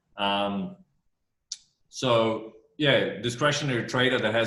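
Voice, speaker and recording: With an Australian accent, a man talks at a medium pitch amid audible room echo. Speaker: fund manager. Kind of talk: interview. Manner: many fillers, repeats words.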